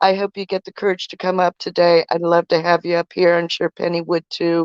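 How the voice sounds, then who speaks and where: There is a quiet background as a woman with an unremarkable speaking voice talks at a moderate pace. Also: dry, close sound with no echo. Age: 60s. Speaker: live stream co-host. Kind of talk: casual live stream chat.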